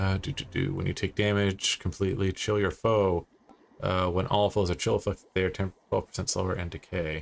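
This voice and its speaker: A man speaks at a fairly quick pace with ordinary pitch variation. His voice sits fairly low. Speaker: video game streamer. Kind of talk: live gameplay stream commentary. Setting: live stream with chat. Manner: loud. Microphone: new mic, not fully set up.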